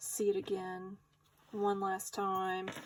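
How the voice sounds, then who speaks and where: A woman is speaking. She has a Southern US accent. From US South. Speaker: craft YouTuber. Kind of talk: tutorial. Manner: casual.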